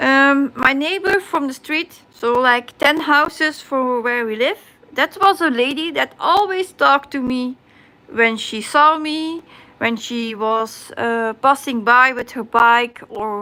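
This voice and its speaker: A woman with a high pitch uses a raised, projected voice with a bright, sharp tone. She speaks at a very slow pace with lively intonation. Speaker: crafting livestreamer. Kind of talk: casual chat on livestream. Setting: live stream. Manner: halting.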